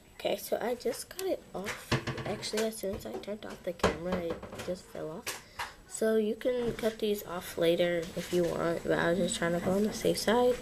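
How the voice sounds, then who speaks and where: Noticeable background noise surrounds a woman speaking at a moderate pace, her medium-pitched voice rising and falling in an ordinary way. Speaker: craft tutorial video maker. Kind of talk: tutorial. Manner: casual, chatty.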